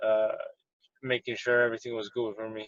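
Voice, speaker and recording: A man speaks with an Armenian accent. His intonation is monotone and flat. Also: dry, close sound with no echo. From Montreal, Quebec, Canada. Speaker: professional boxer. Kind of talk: interview. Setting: in his car. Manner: halting, many fillers.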